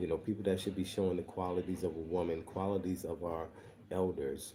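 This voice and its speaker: A man speaks quietly with an American accent in a very deep, low pitch. His tone is dark and mellow, and his intonation is monotone and flat. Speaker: online show host. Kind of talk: livestream commentary. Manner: speaking quietly.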